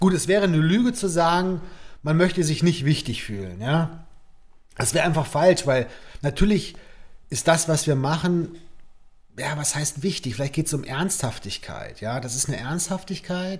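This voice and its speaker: Lively intonation runs through this moderately paced speech, broken by long, frequent pauses, on a very clean recording with a silent background. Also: man, fairly high pitch for a man. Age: 40s. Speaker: artist. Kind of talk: casual chat.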